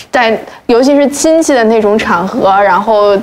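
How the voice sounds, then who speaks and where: Her pitch fairly high and her intonation lively, a woman talks at a fairly slow pace. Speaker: talk show guest. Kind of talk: casual chat. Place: studio.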